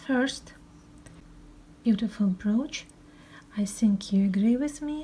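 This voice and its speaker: Very slow speech from a woman with a Russian accent, fairly high pitch, and long, frequent pauses. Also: ordinary pitch variation. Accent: Russian, non-fluent English. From Russia, Moscow. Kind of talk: show-and-tell presentation. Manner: halting, many hesitations.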